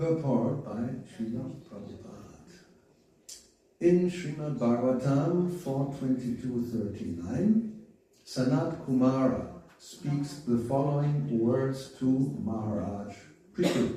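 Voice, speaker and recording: With long, frequent pauses, a man talks very slowly at a medium pitch with lively intonation, amid noticeable background noise and audible room echo. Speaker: spiritual teacher. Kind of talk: scripture reading.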